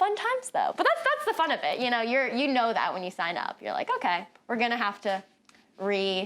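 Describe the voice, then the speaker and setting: A woman with a fairly high pitch talks very fast in an animated tone, her pitch swinging very widely. Noticeable background noise is present. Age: 20s. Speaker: actress. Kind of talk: interview. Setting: studio.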